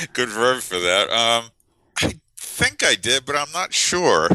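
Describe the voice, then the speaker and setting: A man's bright, sharp voice in a dry, close sound with no echo, on a very clean recording with a silent background. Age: 60s. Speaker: biologist. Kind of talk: interview.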